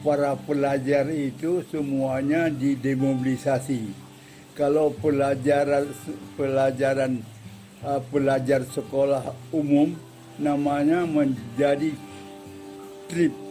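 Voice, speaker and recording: A man speaks at a very slow pace with long, frequent pauses, his fairly high voice held in a monotone, flat intonation at very even loudness over music in the background. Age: 80s+. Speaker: war veteran. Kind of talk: interview. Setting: museum. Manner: halting.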